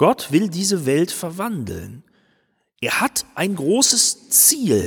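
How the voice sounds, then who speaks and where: Here a man speaks at a high pitch. His pace is very slow. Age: 50s. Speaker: pastor. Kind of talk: sermon.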